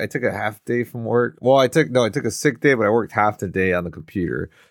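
A man's medium-pitched voice, very fast, with lively intonation. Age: 30s. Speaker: podcast co-host. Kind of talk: casual chat. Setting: video call.

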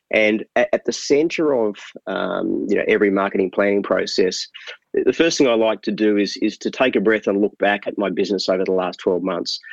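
Recorded with a dry, close sound with no echo, a man with an Australian accent talks at a fairly quick pace. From Tasmania, Australia (Hobart). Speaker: marketing consultant. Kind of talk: interview.

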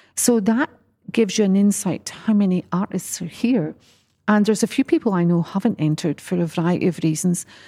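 In a very clean recording with a silent background, a woman speaks at a medium pitch, somewhat breathy with a dark, mellow tone, the sound dry and close with no echo. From east coast of Scotland. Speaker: art gallery director. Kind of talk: interview.

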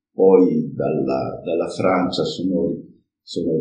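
Audible room echo surrounds a man who speaks very slowly with vocal fry. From Friuli, northeastern Italy. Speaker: cooperative president, engineer. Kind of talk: interview, personal account. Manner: halting, with fillers.

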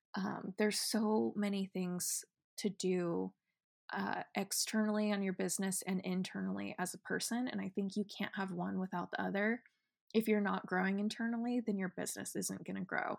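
A woman with a West Coast accent is heard in a dry, close sound with no echo. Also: moderate pace. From Oregon, US (small town). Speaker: podcast host, business owner. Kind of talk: personal story monologue. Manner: casual, hesitant with many fillers; laughs often.

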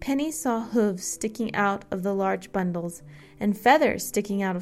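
The pitch variation here is ordinary. It comes in a natural reading voice.

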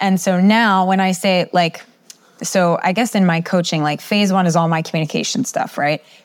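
At a moderate pace, a woman with an American accent speaks at medium pitch in a plain, everyday voice. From US East Coast. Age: 40s. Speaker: communication coach and professor. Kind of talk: interview.

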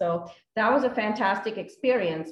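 At a moderate pace, a woman speaks at a medium pitch, somewhat breathy, with ordinary pitch variation. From India. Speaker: apartment investor, former engineer. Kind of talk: interview.

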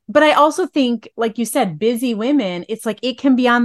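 A woman with a plain, everyday voice speaks at a moderate pace and a fairly high pitch with lively intonation, the sound dry and close with no echo. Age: 40s. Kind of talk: interview podcast, faith-based.

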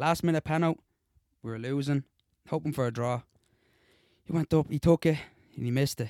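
With a fairly high pitch and fairly even intonation, a man speaks at a very fast pace broken by long, frequent pauses, in a dry, close sound with no echo. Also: very clean recording, silent background. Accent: Dublin. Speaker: co-host, amateur footballer. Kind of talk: casual banter. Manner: jokey, talkative.

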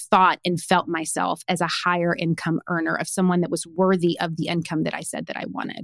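A woman with a Tennessee accent and a medium pitch. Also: dry, close sound with no echo. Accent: Southern US (Tennessee). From small-town Tennessee. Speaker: personal branding coach and author. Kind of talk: podcast interview.

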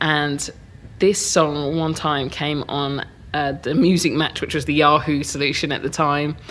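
In a southern English accent, a woman speaks at a moderate pace with a very deep, low pitch and monotone, flat intonation. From Hertfordshire, England. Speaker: DJ and music producer. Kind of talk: interview.

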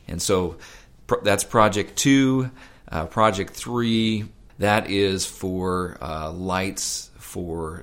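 Very slow, very deep and low-pitched speech from a man with an American accent and ordinary pitch variation. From Alaska, US. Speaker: facilities director at a camp.

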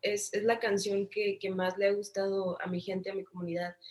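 A woman talks in a northern Mexican accent. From Mexico, Tijuana. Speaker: singer-songwriter. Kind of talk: interview.

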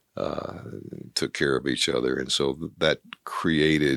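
Recorded dry and close with no echo, a man talks at a fairly slow pace with vocal fry and fairly even intonation. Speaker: retiring company CEO. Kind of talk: interview.

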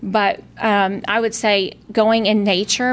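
A woman's medium-pitched voice in a South Carolina accent. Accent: Southern US (South Carolina). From South Carolina, Lowcountry. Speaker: town councilwoman, real estate developer. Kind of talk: interview.

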